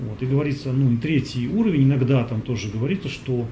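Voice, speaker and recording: This man, medium in pitch, talks at a moderate speed with ordinary variation in his pitch. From Russia. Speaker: yoga teacher. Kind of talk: Q&A talk. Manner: halting, with many fillers.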